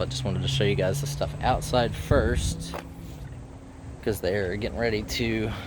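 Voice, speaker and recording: A man with an American accent and a fairly low pitch, at a moderate pace, with music in the background. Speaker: reseller and auction-preview vlogger. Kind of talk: casual talk to camera.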